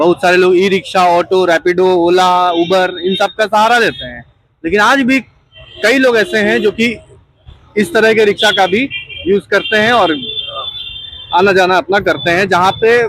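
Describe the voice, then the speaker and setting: This man speaks in a high voice with ordinary pitch variation, leaving long, frequent pauses. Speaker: ground reporter. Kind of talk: street interview host talk. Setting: outdoors.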